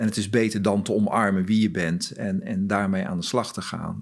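Using an unremarkable speaking voice, a man talks at a moderate pace with a fairly low pitch and ordinary pitch variation. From Groningen, northern Netherlands. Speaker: corporate talent and diversity lead. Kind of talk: interview.

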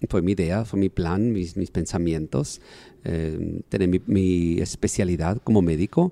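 Dark and mellow, a man's very deep, low voice moves at a fairly slow pace with fairly even intonation, recorded dry and close with no echo. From Mexico, Sonora. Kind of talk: interview testimony.

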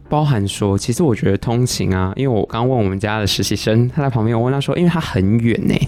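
With a Taiwanese accent, a man speaks at a very fast pace with hardly any pauses and very even loudness. His pitch is medium with ordinary variation, over noticeable background noise. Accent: Taiwanese Mandarin. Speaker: substitute podcast host. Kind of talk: casual chat.

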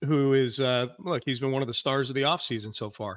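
Over a very clean recording with a silent background, a man with an unremarkable speaking voice talks at a moderate pace and medium pitch, his intonation fairly even. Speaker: sports radio host. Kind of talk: solo podcast commentary and mailbag. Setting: studio with video stream. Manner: casual, conversational with fillers.

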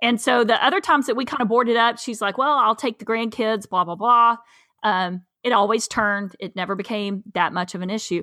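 The speaker has a Southern US accent and a bright, sharp tone, talking at a fairly quick pace with ordinary pitch variation. The recording is very clean with a silent background. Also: woman, fairly high pitch for a woman. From East Tennessee. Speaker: farmer. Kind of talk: casual chat.

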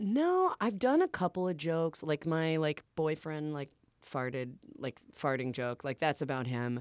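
Someone with an American accent speaks at a moderate pace, in a dry, close sound with no echo on a very clean recording with a silent background. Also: woman, very deep, low pitch for a woman. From Boston. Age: 30s. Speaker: stand-up comedian. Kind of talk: casual chat. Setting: studio. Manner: halting.

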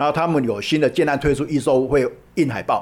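A fairly high-pitched man with a Taiwanese accent. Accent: Taiwanese Mandarin. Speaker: charity association founder and volunteer. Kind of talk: interview. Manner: frequent hesitation fillers.

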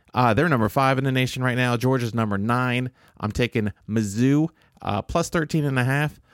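With an American accent, a man in an ordinary speaking voice talks at a moderate pace and medium pitch with ordinary pitch variation and very even loudness, recorded very cleanly against a silent background in a dry, close sound with no echo. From Southern Illinois, US Midwest. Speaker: podcast co-host, sports bettor. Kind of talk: casual chat.

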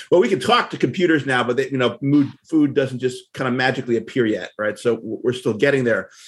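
At a fairly quick pace and with hardly any pauses, a man talks in an unremarkable speaking voice with ordinary pitch variation. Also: medium pitch for a man. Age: 50s. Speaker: tech writer and food blogger. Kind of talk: interview.

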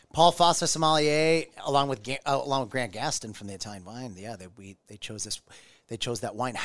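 An unremarkable speaking voice with an American accent moves through lively intonation and big swings in loudness against a quiet background. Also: man, medium pitch for a man, fairly quick pace. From US Midwest, Omaha. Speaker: restaurant owner. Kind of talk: casual chat.

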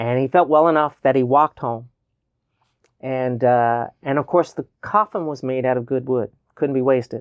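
A man speaks with a Newfoundland accent at a medium pitch. His pace is moderate, and his pitch varies in an ordinary way. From Newfoundland, Canada. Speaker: novelist and poet. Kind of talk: interview. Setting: studio.

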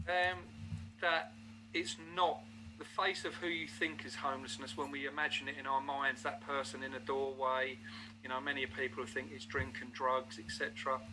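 A man with a Geordie accent speaks at a moderate pace in a medium-pitched voice, bright and sharp in tone, with ordinary pitch variation. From northern England, Newcastle. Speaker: homeless charity volunteer. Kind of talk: interview.

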